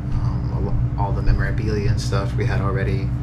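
A man talks at a moderate pace. Loud background noise fills the recording. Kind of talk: casual vlog chat. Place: home room. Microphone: phone near.

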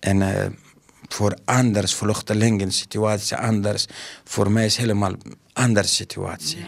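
Against a quiet background, a man with a fairly low voice speaks at a fairly slow pace with fairly even intonation. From Afghanistan. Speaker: school caretaker and refugee. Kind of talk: interview; interview answer. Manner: halting. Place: office. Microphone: handheld.

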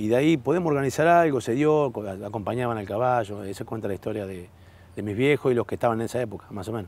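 A man talks at a very fast pace with lively intonation, the sound dry with no echo. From Entre Ríos, Argentina. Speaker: former footballer; guest. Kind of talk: casual chat. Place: garden. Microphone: lapel.

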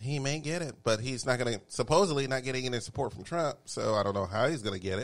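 In a Texan accent, a man races along at a very fast pace with hardly any pauses, his tone animated and his intonation lively. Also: medium pitch for a man. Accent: Texan Southern US. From Texas. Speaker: talk show host. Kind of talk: casual chat. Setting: studio.

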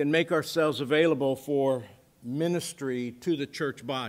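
The pitch variation is ordinary. A man talks at a moderate pace. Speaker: pastor. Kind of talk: sermon. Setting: church. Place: church. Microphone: podium.

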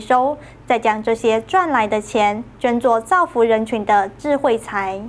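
A high-pitched female voice at a fairly slow pace, with ordinary pitch variation. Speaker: news anchor / news reporter. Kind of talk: news report narration. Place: studio.

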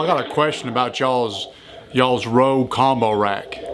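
A man speaks with ordinary pitch variation at a moderate pace, light background noise behind him. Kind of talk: phone conversation in a put-on drawl. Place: office. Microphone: camera far.

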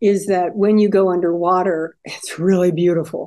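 With a dark, mellow tone, a woman talks at a moderate pace over a quiet background. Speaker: interview guest. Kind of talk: interview answer. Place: home room. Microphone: video call.

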